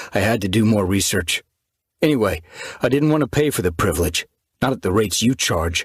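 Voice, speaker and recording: A man puts on a character voice, fairly low in pitch and lively in intonation, moving at a fairly quick pace broken by long, frequent pauses. The sound is dry and close, with no echo. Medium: read story.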